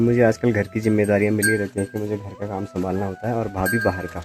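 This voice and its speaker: A man's fairly low voice over background music, fairly even in intonation, at a moderate pace. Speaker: college student. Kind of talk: casual village vlog talk to camera.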